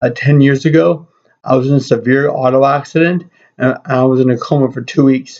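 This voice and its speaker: A man's fairly high voice moves at a fairly quick pace with fairly even intonation. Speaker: seminary student presenting final project. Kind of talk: recorded class presentation. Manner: slightly impaired speech after brain injury; halting, with fillers and self-corrections.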